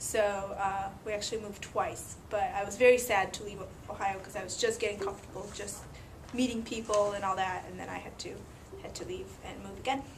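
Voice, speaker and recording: A woman's medium-pitched, monotone, flat delivery at a fairly quick pace, with big swings in loudness and audible room echo. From Latvia. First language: Russian. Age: 30s. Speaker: immigrant interviewee. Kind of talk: interview.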